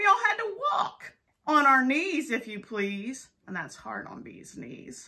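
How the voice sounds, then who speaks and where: A woman's put-on character voice, raised and projected, fairly slow, with very wide pitch swings. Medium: read story.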